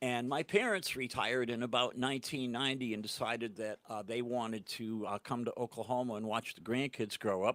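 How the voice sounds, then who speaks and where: In a Boston accent, a man with a medium pitch speaks at a fairly quick pace with hardly any pauses and fairly even intonation, the sound dry and close with no echo on a very clean recording over a silent background. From New England (Portland, Maine). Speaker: singer-songwriter. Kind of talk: casual interview. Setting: studio. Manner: halting.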